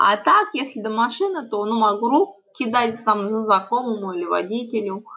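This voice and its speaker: A woman with an unremarkable speaking voice talks at a moderate pace. Her pitch is fairly high, with ordinary variation. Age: 30s. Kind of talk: interview testimony.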